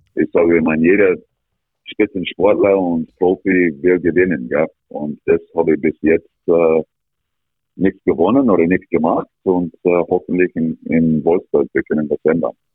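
A man speaks at a fairly slow pace in a very deep, low voice. His intonation stays fairly even over background music. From Canada, rural Alberta. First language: English (speaking German). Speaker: ice hockey coach. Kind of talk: interview. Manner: halting.

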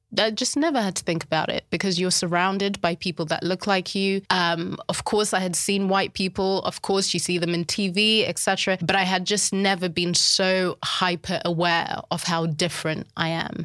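Speaking with a Zimbabwean accent, a woman keeps a moderate pace and a medium pitch, with very even loudness, fairly even intonation and hardly any pauses. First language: Shona. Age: 30s. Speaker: life coach and writer. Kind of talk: casual interview conversation.

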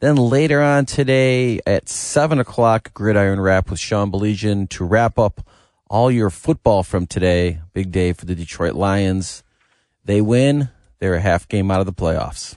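In a plain, everyday voice, a man speaks at a fairly low pitch with lively intonation, recorded with a dry, close sound with no echo over a quiet background. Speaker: radio station announcer. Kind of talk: programming preview and sports chat. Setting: studio.

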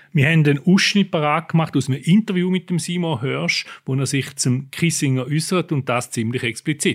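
Against a very clean, silent background, a man with a fairly high, somewhat breathy voice speaks at a moderate pace with ordinary pitch variation and hardly any pauses. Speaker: podcast host, newspaper foreign editor. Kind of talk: interview conversation.

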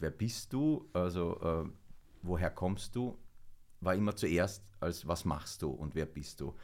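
A man's very slow, lively-intoned speech in a very clean recording with a silent background. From Vienna, Austria. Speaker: actor. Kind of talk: casual chat.

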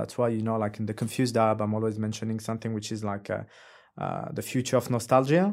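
With a French accent, a man speaks at a very fast pace and medium pitch. His intonation is fairly even, and the recording is very clean with a silent background. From France, Algerian heritage. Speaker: creative entrepreneur. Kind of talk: casual chat. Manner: halting.

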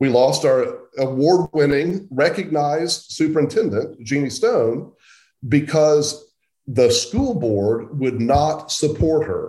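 This man speaks very slowly with an American accent and lively intonation. His voice is fairly high-pitched and somewhat breathy. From central Oklahoma. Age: 60s. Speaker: journalist. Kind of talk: interview.

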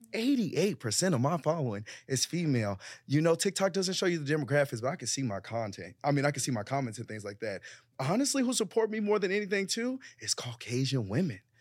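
A man speaks very fast with a fairly high pitch and very wide pitch swings. The recording is very clean, with a silent background. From Chicago, South Side. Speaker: content creator and small business owner. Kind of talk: casual panel discussion.

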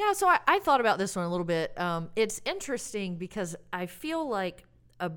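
Talking at a moderate pace, a woman with medium pitch swings her pitch very widely. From US South (Alabama). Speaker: bariatric surgeon. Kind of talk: interview, casual conversation.

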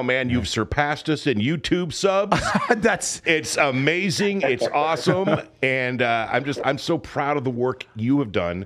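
A man talks fairly slowly and with lively intonation, his voice fairly high, while noticeable noise sounds behind him. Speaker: podcast host.

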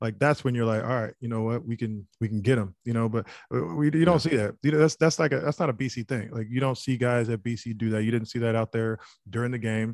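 A man talks fairly quickly at a medium pitch with ordinary pitch variation. The sound is dry and close, with no echo. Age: 30s. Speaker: former college football player, podcast panelist. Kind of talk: casual sports chat. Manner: halting, many fillers and repeats.

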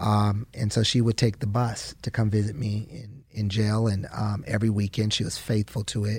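At a moderate pace, a man speaks in a fairly low, somewhat breathy voice with fairly even intonation. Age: 40s. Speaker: pastor. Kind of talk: interview testimony.

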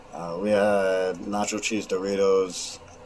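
A man speaks with a fairly low pitch. Noticeable background noise can be heard. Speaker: sports fan. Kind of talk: recorded fan testimony.

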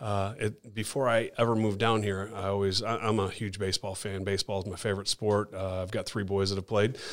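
Delivered in an American accent, the speech runs at a fairly quick pace with hardly any pauses and a monotone, flat intonation. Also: man, fairly low pitch for a man. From Chicago. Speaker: studio owner. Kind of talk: casual chat. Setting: studio.

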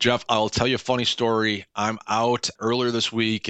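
A normal speaking voice moves at a moderate pace over a quiet background. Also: man. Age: 40s. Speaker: sports journalist. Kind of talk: radio sports analysis.

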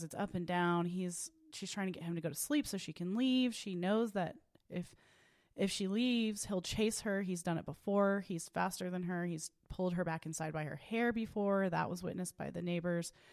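With an American accent, a woman in an unremarkable speaking voice talks at a moderate pace and fairly low pitch with ordinary pitch variation, on a very clean recording with a silent background. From Oklahoma, Tulsa. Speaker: attorney. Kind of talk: interview.

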